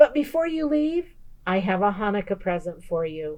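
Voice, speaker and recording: A woman speaks at a moderate pace in a put-on character voice, medium in pitch, with very wide pitch swings. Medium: read story. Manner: warm, chatty, hospitable.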